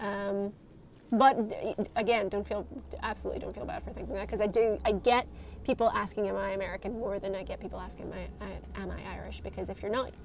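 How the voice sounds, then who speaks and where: A woman talks at a very fast pace, with big swings in loudness. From Northern Ireland, Derry. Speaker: game streamer, studio communications staff. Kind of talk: live game stream chat. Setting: live stream. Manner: casual, frequent fillers and restarts.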